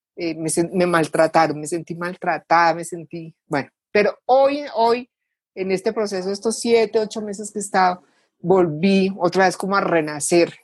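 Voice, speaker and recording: This woman has an unremarkable speaking voice with a medium pitch. She keeps a moderate pace and ordinary pitch variation. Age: 60s. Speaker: civil engineer, participant. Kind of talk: testimony.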